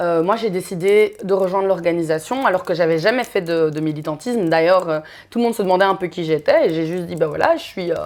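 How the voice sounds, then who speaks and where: A woman rattles along at a very fast pace, her medium pitch showing ordinary variation. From Belgium (Brussels), Congolese heritage. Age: 30s. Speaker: activist. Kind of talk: interview. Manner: hesitant, many fillers.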